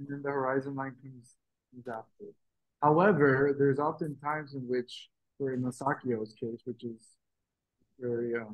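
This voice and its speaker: A soft-spoken man at a moderate pace, medium-pitched, with fairly even intonation, long and frequent pauses, and big swings in loudness. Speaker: art workshop instructor. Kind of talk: tutorial. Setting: video call. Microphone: too quiet, far from the mic.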